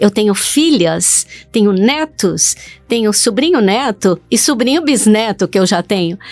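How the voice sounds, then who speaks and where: Music plays behind a woman as she talks. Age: 70s. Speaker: digital influencer. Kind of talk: interview.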